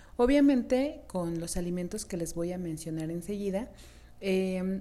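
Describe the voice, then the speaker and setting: The tone is dark and mellow. Intonation stays lively while the pace is fairly slow. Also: woman. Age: 30s. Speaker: beauty podcast host. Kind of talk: solo podcast talk.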